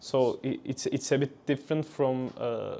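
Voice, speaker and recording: A man speaks with a Turkish accent at a medium pitch. His pace is fairly slow. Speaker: engineering graduate. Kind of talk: interview. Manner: halting.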